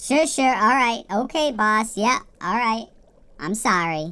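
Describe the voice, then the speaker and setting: Using a put-on character voice, a woman speaks fairly slowly in a fairly high pitch with lively intonation. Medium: audio drama. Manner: blunt, sarcastic, says "okay" a lot.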